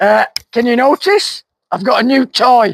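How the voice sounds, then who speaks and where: This man's voice is squeaky and extremely high-pitched, with lively intonation and a dry, close sound that has no echo. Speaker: vlogger, gardener. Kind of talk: casual vlog talk to camera. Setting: outdoors in garden.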